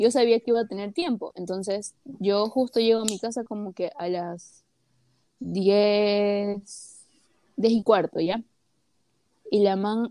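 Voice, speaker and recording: A woman's medium-pitched voice, dark and mellow in tone, at a fairly slow pace with fairly even intonation, in a dry, close sound with no echo. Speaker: podcast co-host. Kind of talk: casual chat.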